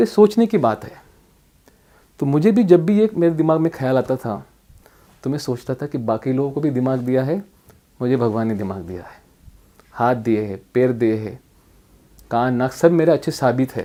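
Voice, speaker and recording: A man with a dark, mellow tone at a moderate pace, his loudness swinging widely, his intonation lively, with long, frequent pauses. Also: medium pitch for a man. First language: Marathi (also Bhili, Ahirani) (speaking Hindi). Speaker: district collector, civil servant. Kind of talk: motivational life story talk.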